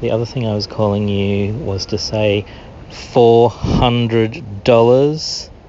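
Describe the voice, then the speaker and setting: Over noticeable background noise, a man with an Australian accent speaks at a very slow pace with fairly even intonation. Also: medium pitch for a man. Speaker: listener calling in. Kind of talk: voicemail message. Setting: recorded voicemail.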